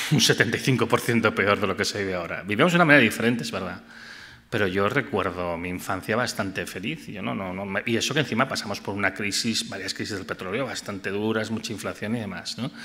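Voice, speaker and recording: Fairly low in pitch, a man speaks at a fairly quick pace with a bright, sharp tone and ordinary pitch variation. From Catalonia, Empordà; Catalonia. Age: 50s. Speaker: physicist and energy researcher; invited lecturer. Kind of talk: audience Q&A answers; lecture. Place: hall. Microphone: podium.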